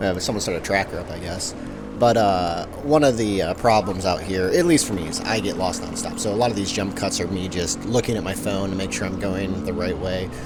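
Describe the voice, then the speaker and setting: Over music in the background and audible room echo, the voice moves at a fairly quick pace with hardly any pauses and ordinary pitch variation. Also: man, fairly low pitch for a man. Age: 30s. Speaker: dirt bike rider and vlogger. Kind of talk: voice-over commentary. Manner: rambling, halting with many fillers.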